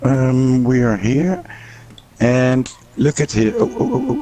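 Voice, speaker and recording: A man speaks very slowly at a medium pitch with ordinary pitch variation and very even loudness, leaving long, frequent pauses over noticeable background noise. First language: not English. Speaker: gaming YouTuber. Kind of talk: casual chat. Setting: live stream. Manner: halting.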